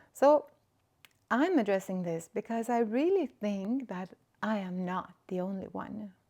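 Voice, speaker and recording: A woman with a Swedish accent talks at a fairly slow pace, her medium pitch showing ordinary variation. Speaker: spiritual podcaster. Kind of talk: reflective monologue. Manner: halting.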